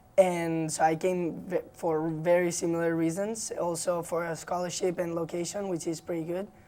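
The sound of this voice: A woman speaks at a moderate pace with a Spanish accent. Her tone is dark and mellow, her pitch fairly low, and it moves very little.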